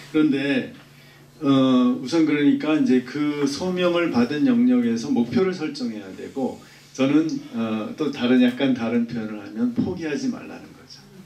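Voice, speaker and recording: A man speaks at a fairly high pitch, with big swings in loudness. Noticeable background noise and audible room echo fill the recording. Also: ordinary pitch variation, fairly slow pace. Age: 60s. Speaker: professor. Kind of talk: Q&A talk at a book event. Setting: lecture room with audience. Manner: halting, with many fillers.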